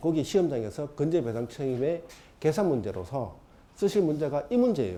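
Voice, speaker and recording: A man's dark, mellow tone with vocal fry, very wide pitch swings, and a fairly quick pace amid audible room echo. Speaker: exam prep lecturer. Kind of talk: lecture. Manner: fast.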